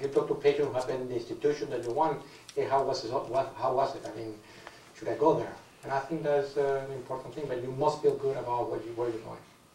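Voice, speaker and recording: A non-native accent at a very fast pace with fairly even intonation, audible room echo and noticeable background noise. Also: man, fairly high pitch for a man. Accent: foreign accent, noticeable. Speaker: cancer surgeon on expert panel. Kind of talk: panel discussion answering audience question.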